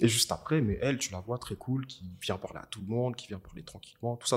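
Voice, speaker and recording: Somewhat breathy, a man talks with ordinary pitch variation on a very clean recording with a silent background. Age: 20s. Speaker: videographer and filmmaker. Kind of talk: casual interview. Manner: casual, hesitant with fillers.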